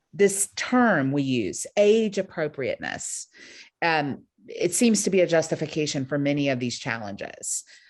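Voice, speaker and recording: A woman with an American accent talks at a moderate pace, her pitch swinging very widely. The background is quiet. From Brazil, then United States from seventh grade. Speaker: panel moderator. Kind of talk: roundtable discussion. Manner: conversational with frequent fillers.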